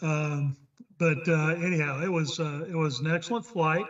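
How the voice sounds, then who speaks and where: Speaking with a Texas accent, a man talks at a moderate pace in a fairly high pitch, his intonation fairly even. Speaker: flight instructor, check pilot. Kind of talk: club meeting remarks.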